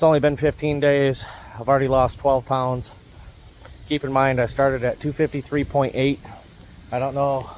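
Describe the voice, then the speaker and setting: With noticeable background noise, a man in an American accent speaks in a monotone, flat intonation, leaving long, frequent pauses. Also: medium pitch for a man. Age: old. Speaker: prepper vlogger. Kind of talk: casual vlog monologue. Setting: outdoors. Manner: fast.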